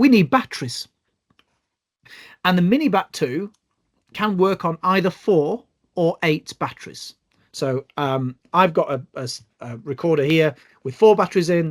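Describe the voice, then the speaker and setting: A man with a British accent and a high pitch talks at a fairly slow pace with lively intonation and long, frequent pauses, in a dry, close sound with no echo. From UK. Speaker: bioacoustics trainer. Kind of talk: online tutorial. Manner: hesitant, many fillers.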